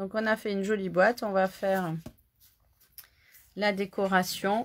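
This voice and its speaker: Here a woman talks at a medium pitch and a fairly slow pace. Her intonation is flat and monotone. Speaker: crafting instructor. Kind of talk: live craft tutorial. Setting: Facebook live stream. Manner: casual, chatty.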